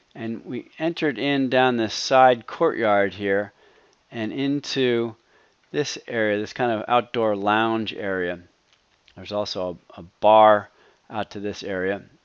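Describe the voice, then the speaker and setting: A man speaks at a fairly slow pace in a medium pitch. His is an unremarkable speaking voice with ordinary pitch variation. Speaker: home design video presenter. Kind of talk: narrated slideshow tour.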